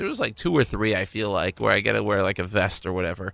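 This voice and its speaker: A man with a fairly low, bright and sharp-toned voice speaks at a very fast pace. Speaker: radio host. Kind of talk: casual radio show hosting. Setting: studio. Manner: chatty, rambling.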